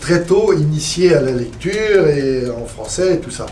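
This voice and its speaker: Audible room echo and noticeable background noise surround a man who talks at a fairly slow pace with lively intonation. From Poitou, western France. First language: Poitevin (speaking French). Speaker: traditional music collector. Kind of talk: seminar panel discussion.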